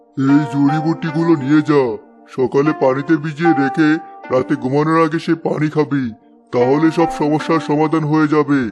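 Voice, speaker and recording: Faint music plays behind a man doing a cartoonish character voice at a fairly high pitch. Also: moderate pace. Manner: sly, falsely kind.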